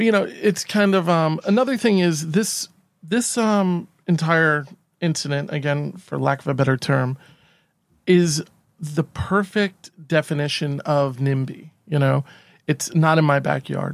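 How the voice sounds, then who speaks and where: Over a silent background on a very clean recording, a man with an American accent and an unremarkable speaking voice talks fairly slowly at a fairly high pitch with ordinary pitch variation. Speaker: podcast co-host. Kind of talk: casual chat.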